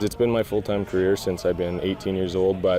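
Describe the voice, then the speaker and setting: A man's very deep, low voice with a western Canadian accent, at a fairly quick pace over music in the background. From Alberta, Canada. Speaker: professional bull rider. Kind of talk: interview.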